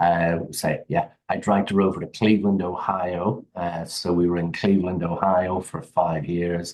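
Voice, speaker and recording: A man with an English accent speaks in a very deep, low pitch. His intonation is monotone and flat, at a moderate pace with hardly any pauses. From England, Derby area. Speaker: HVAC business owner. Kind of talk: podcast interview. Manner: halting, many fillers.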